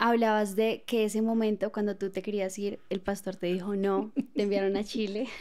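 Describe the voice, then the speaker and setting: The background is quiet. A woman speaks with monotone, flat intonation. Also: moderate pace. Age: 20s. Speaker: podcast host. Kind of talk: casual chat. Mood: warm, reflective. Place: studio. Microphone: studio mic.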